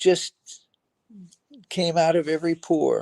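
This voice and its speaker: A man talks at a very slow pace. He speaks with an American accent. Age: 80s+. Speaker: pianist and composer, son of a famous comedian. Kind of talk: interview. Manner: halting, many repeated words.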